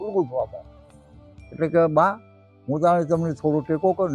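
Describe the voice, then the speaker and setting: A man with music in the background. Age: old. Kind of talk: folk tale storytelling.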